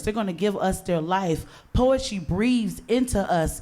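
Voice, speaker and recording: The tone is animated, with ordinary pitch variation at a moderate pace. Audible room echo surrounds the voice. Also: woman. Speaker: event host. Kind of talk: live event hosting. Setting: outdoor stage with audience.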